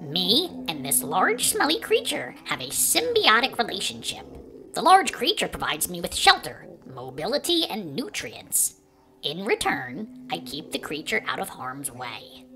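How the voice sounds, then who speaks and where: The speaker uses a put-on character voice. Its pitch sits in the middle, and the pace is moderate. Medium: read story. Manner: composed, articulate, slightly prim.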